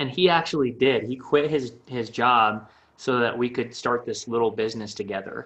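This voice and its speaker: A man speaks at medium pitch and a moderate pace. He has an unremarkable speaking voice. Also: ordinary pitch variation. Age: 30s. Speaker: startup founder and marketing agency owner. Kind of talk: casual interview.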